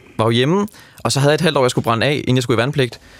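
The speaker is a man. Ordinary pitch variation runs through his delivery. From Denmark. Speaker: backpacker who hitchhiked around Europe. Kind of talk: radio interview. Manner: hesitant, many fillers.

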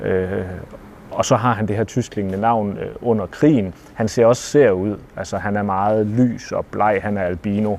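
At a fairly slow pace, a man with an ordinary speaking voice talks at a fairly low pitch with fairly even intonation. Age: 30s. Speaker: novelist. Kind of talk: interview. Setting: library.

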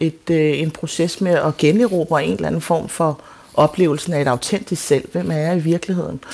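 A woman speaks with a very deep, low pitch. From Denmark, adopted from South Korea. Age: 40s. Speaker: playwright. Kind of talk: radio interview. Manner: halting.

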